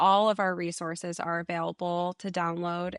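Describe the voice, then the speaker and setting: In a dry, close recording with no echo and a quiet background, a woman with an American accent uses a normal speaking voice at a medium pitch and a moderate pace. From New England, Massachusetts. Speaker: education consultant. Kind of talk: podcast interview.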